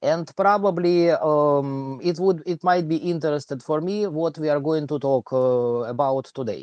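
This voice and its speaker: Fairly slow speech in a strong Russian accent. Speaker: live stream host and maths teacher. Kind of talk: casual chat. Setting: live stream. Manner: halting, many fillers.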